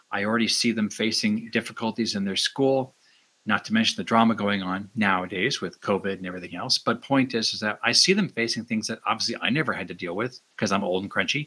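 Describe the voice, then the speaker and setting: Over a silent background in a very clean recording, the voice has a bright, sharp tone. It moves at a fairly quick pace with ordinary pitch variation. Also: man. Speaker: podcast host. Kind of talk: casual interview chat. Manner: animated, joking.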